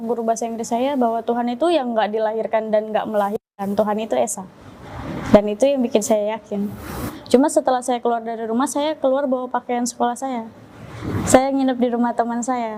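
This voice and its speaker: Amid noticeable background noise, a woman talks in a fairly high voice with fairly even intonation. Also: fairly quick pace. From Indonesia, Jakarta (East Jakarta). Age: 20s. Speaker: religious convert. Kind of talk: testimony.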